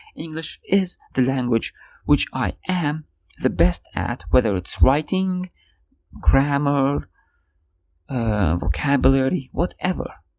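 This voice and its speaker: Very slow and broken by long, frequent pauses, a man speaks with a non-native accent and very wide pitch swings. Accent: non-native English, easy to tell. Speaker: podcaster. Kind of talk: casual solo podcast monologue. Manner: animated, frustrated rant.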